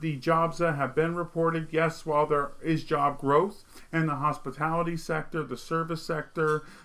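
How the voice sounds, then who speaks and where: A man with a slight Vermont accent speaks at a moderate pace in a flat monotone, barely pausing. His pitch is fairly high and his tone bright and sharp. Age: 30s. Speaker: political commentary streamer. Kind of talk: monologue commentary.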